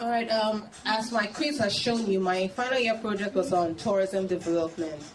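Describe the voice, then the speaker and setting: With hardly any pauses, a woman talks at a medium pitch and ordinary pitch variation over noticeable background noise. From Nigeria. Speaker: tourism podcaster. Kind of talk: Q&A interview at a launch party. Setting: live event with audience. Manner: fast.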